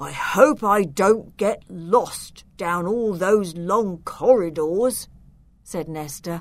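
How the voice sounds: Ordinary pitch movement in a natural reading voice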